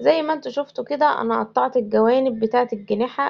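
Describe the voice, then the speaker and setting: The speaker is a woman with a high-pitched voice. She talks at a moderate tempo. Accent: Egyptian. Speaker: homemaker vlogger. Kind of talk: home vlog narration.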